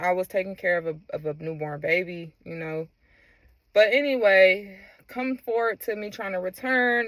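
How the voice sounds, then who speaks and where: On a very clean recording with a silent background, the speaker goes at a moderate pace with ordinary pitch variation. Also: woman. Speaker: former Tesla employee. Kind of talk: casual talk to camera. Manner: hesitant, unscripted.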